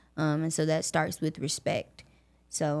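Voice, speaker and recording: Recorded very cleanly over a silent background, a woman with a Southern US accent talks at a moderate pace and a fairly low pitch. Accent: Southern US (Georgia). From US South, Augusta, Georgia. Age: 20s. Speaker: podcast host and college student. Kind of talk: personal storytelling monologue.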